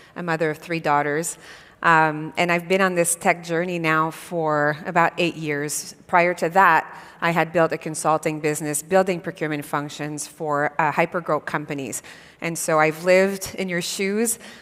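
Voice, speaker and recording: Speaking at a moderate pace with a slight Quebec accent, a woman with a fairly low pitch keeps a monotone, flat intonation. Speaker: tech company founder and CEO. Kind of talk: panel interview at a conference. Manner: hesitant, many fillers.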